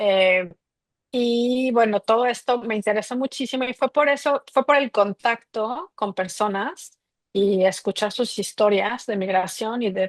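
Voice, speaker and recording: In a Mexico City accent, the speaker goes at a fairly slow pace with ordinary pitch variation, in a dry, close sound with no echo. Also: woman. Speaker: migration researcher. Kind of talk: interview.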